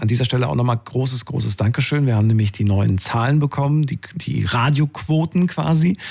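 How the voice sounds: A man talks at a medium pitch and a fairly quick pace, with ordinary pitch variation. His voice has vocal fry and a slightly mellow tone.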